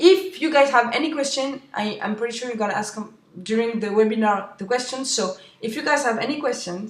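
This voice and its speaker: A woman with a French accent speaks fairly quickly at a fairly high pitch. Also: ordinary pitch variation. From France. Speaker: webinar host. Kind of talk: webinar presentation. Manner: halting.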